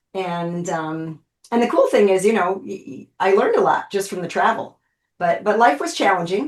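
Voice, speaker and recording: At a moderate pace, a woman with an unremarkable speaking voice talks at a fairly low pitch with ordinary pitch variation. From United States, moved all over. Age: 60s. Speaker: pain and aging specialist. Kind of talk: interview. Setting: podcast interview.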